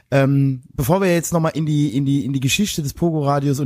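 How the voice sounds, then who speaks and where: Over a silent background in a very clean recording, a man speaks fairly quickly at a fairly high pitch in a plain, everyday voice. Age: 40s. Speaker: podcast co-host. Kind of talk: casual chat.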